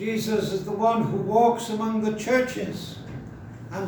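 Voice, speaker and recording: A man with a North Welsh accent, high-pitched and fairly slow, over noticeable background noise. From Wales (North Wales, near Wrexham). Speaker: pastor. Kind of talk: sermon.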